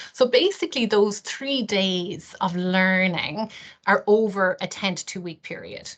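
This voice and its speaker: A woman's medium-pitched voice is heard over a quiet background. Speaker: careers consultant presenting a training programme. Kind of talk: webinar presentation. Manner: hesitant, many fillers.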